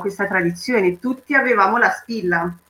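A woman speaks in a Romanian accent. Her pitch varies in an ordinary way. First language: Romanian (speaking Italian). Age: 30s. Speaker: cultural association member. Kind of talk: personal testimony.

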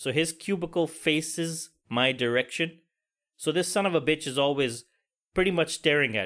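On a very clean recording with a silent background, a man talks at a moderate pace at a fairly high pitch with ordinary pitch variation. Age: 40s. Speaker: podcast host. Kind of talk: casual monologue. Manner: animated.

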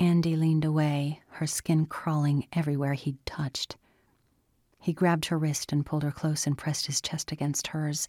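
A woman's dark, mellow voice in a monotone, flat intonation, with a dry, close sound and no echo. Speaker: audiobook narrator. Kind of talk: dramatic fiction narration, reading aloud with sinister menace in the tense scene. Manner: slow, menacing, hushed and creeping, voicing the predator in a silky drawl; formal, measured.

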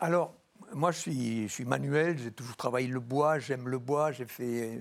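Speech comes at a fairly slow pace. It is delivered in a plain, everyday voice. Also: man. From rural France. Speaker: doctor and explorer. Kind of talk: TV talk show interview.

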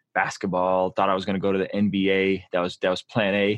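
With a West Coast accent, a man speaks at a very fast pace in a very deep, low pitch and monotone, flat intonation. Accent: American English, West Coast. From born in Azerbaijan, raised in San Diego. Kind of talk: casual chat.

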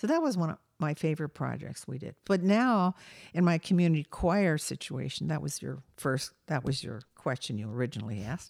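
A woman's very deep, low voice with vocal fry, very wide pitch swings and a fairly quick pace, in an American accent, on a very clean recording with a silent background and a dry, close sound with no echo. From US, Delaware. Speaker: choir director and music educator. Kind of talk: interview. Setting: home.

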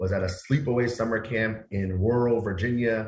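A man with an American accent at a moderate pace, music playing in the background. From Queens, New York City. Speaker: nonprofit executive director, guest. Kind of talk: teacher voice, well rehearsed. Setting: radio talk show interview.

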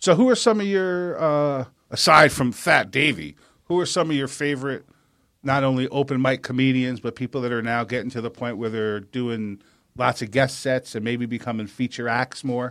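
The speaker is a man with a medium pitch and ordinary pitch variation. He talks at a moderate pace. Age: 40s. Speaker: radio comedy show host. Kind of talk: casual chat. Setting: studio. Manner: animated.

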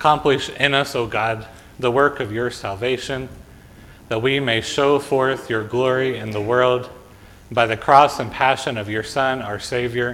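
In a normal speaking voice, a man talks at a fairly slow pace and a medium pitch. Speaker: pastor. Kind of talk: liturgical worship service: prayers, responsive reading, blessing. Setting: church. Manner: fervent, solemn, earnest prayer in a pleading, heartfelt tone.

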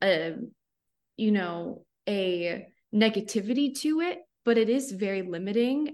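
A very slow, fairly high-pitched woman's voice with an American accent, set against a quiet background. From Florida (Cape Coral). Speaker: journalist. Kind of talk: interview.

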